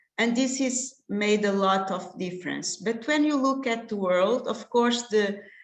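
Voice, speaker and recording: A woman speaks fairly slowly with hardly any pauses, her fairly high pitch varying in an ordinary way. Audible room echo surrounds her voice. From Portugal. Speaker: contraception specialist doctor. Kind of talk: lecture. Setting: online webinar. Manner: halting, many fillers.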